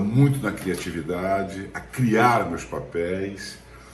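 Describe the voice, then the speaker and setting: A fairly low-pitched man speaks with lively intonation, amid audible room echo and noticeable background noise. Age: 60s. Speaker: actor. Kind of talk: testimony.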